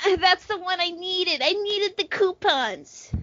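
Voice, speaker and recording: In a put-on character voice, a female-sounding voice whines at an extremely high pitch and a moderate pace. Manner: whining.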